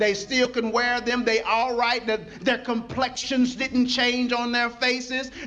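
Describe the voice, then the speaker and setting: A man speaks in a raised, projected voice at an extremely high pitch, animated in tone and at a fairly slow pace. Noticeable background noise runs underneath. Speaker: pastor. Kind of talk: sermon. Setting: church with a live congregation. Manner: animated, call-and-response preaching with rising intensity; conversational, colloquial, pausing for congregation replies.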